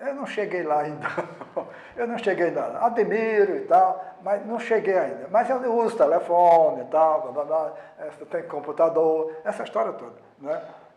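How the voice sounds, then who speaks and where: Noticeable background noise sits behind a voice with lively intonation. The pace is fairly slow, and the loudness swings widely. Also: man, high pitch for a man. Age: 80s+. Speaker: sociologist, former newspaper president. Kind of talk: interview.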